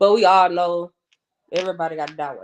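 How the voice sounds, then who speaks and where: With a strong Atlanta accent, a woman with a fairly low voice speaks at a moderate pace in a monotone, flat intonation. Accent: thick Atlanta Southern. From Atlanta, Georgia (West Side, Bankhead). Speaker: podcast guest. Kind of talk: casual chat.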